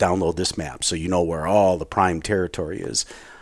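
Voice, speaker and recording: Fairly quick speech with fairly even intonation in a Wisconsin accent. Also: man. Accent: Upper Midwest (Wisconsin). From Wisconsin, Milwaukee area. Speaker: hunter. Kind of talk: casual interview.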